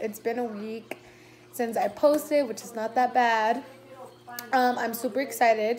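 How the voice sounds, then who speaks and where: With light background noise behind her, a woman speaks at a high pitch with ordinary pitch variation. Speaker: vlogger. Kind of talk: casual vlog chat. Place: home room. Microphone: phone near.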